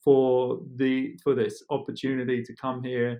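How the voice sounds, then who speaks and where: In an English accent, a man speaks at a fairly slow pace. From England. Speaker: real estate agent. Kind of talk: casual chat.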